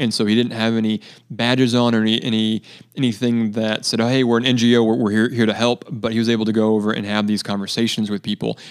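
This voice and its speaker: A man with an American accent speaks very fast at medium pitch in a monotone, flat intonation. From US West Coast (central coast of California). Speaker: charity water project coordinator. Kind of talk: podcast interview.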